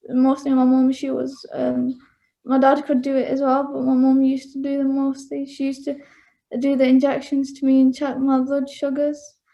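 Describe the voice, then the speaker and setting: A woman's high, dark, mellow voice in a Mancunian accent, monotone and flat at a moderate pace. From northern England, Bury near Manchester. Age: 20s. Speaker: interviewee sharing personal experience. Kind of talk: interview. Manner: halting, many fillers.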